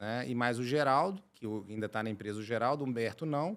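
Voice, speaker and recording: Medium in pitch, this man's voice shows ordinary variation. He talks at a fairly quick pace. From Brazil, Minas Gerais (Belo Horizonte). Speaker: chemical engineer and company director. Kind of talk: podcast interview.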